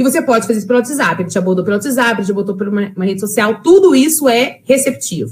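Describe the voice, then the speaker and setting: This woman's voice sits fairly high and is somewhat breathy. Her pitch swings very widely. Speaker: sales trainer. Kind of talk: lecture. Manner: fast.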